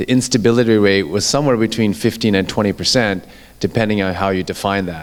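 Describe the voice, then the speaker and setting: A man's pitch varies in an ordinary way while noticeable background noise runs behind him. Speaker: orthopedic surgeon. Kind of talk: lecture.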